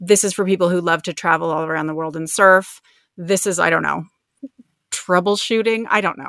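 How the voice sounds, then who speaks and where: Fairly quick speech from a woman in an Ontario accent, fairly low in pitch, with fairly even intonation. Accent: Canadian (Ontario). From Canada, outside Toronto. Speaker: copywriter, business owner. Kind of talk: casual interview. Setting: home closet, remote call.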